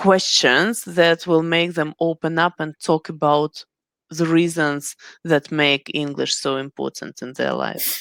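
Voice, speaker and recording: A woman speaks at a very slow pace with a fairly low pitch. The sound is dry and close with no echo, a very clean recording with a silent background. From Ukraine. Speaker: English teacher, webinar host. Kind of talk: interview.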